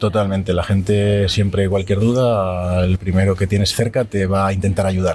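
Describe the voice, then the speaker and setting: A man talks in a fairly low, somewhat breathy voice with hardly any pauses. His intonation stays monotone and flat. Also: moderate pace, very even loudness. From Spain, Zaragoza. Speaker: architect. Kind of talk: interview. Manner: halting.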